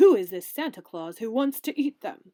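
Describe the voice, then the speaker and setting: Using a put-on character voice, a woman speaks at a moderate pace with a fairly high pitch that swings very widely. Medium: read story. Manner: gruff, commanding.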